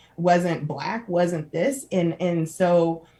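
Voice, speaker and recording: With an energetic tone, a woman speaks at a fairly low pitch. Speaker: social entrepreneur, non-profit founder. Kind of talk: casual interview. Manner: loud, energetic.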